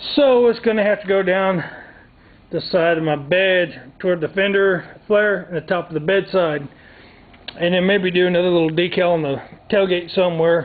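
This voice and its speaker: A man with a Southern US accent speaks at a high pitch, leaving long, frequent pauses. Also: ordinary pitch variation, moderate pace. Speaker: DIY vlogger. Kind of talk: tutorial. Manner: soft-spoken; casual.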